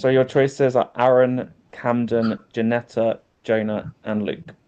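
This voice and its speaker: In a British accent, a man speaks at a fairly slow pace and medium pitch. His intonation is fairly even and his tone dark and mellow. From UK. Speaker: game host. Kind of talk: online game hosting.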